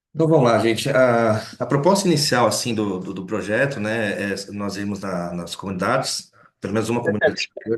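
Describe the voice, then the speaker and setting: A man speaks at a fairly quick pace in a medium-pitched voice with lively intonation. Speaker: lecturer. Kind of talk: lecture. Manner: fast.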